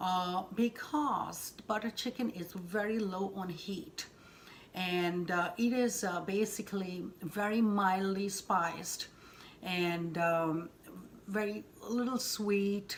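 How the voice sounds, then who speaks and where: With an Indian accent, a woman talks at a very slow pace at a medium pitch with ordinary pitch variation. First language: Hindi. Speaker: cooking channel host. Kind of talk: cooking tutorial. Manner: halting, many fillers.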